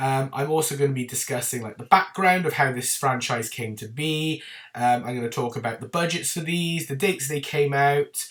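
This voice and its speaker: A man is speaking with an English accent. He keeps a moderate pace. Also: fairly high pitch for a man, ordinary pitch variation, hardly any pauses. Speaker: film reviewer youtuber. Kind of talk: casual video review talk. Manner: chatty, informal.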